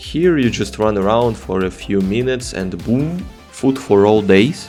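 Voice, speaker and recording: Over music in the background, a man speaks at a fairly slow pace. His pitch swings very widely. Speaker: gaming YouTuber. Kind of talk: gameplay narration voiceover.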